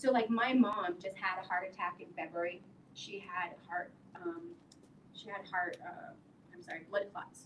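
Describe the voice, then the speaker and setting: Somewhat breathy and medium in pitch, a woman speaks with fairly even intonation, long, frequent pauses and big swings in loudness. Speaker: women's wellness event host. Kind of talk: health talk to live audience. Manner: slowing down deliberately.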